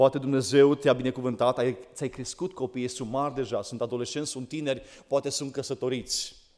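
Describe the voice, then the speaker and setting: On a very clean recording with a silent background, a man with an ordinary speaking voice talks at a medium pitch and a moderate pace. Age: 40s. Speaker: preacher. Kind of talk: sermon.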